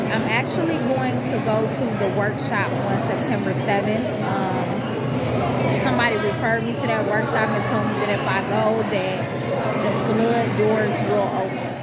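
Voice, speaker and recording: Music can be heard behind the speaker. The delivery is fairly slow. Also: woman. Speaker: vlogger. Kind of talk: casual vlog chat. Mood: upbeat, pleased. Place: hall. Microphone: phone near.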